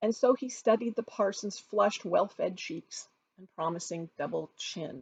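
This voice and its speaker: A woman with a somewhat breathy, medium-pitched voice and an American accent speaks at a moderate pace, her lively intonation paired with big swings in loudness. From California. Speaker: author. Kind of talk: reading aloud; casual chat.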